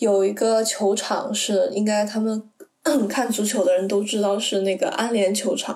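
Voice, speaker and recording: Here is a plain, everyday voice from a woman at medium pitch. She talks at a moderate pace. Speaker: university student abroad. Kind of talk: casual chat.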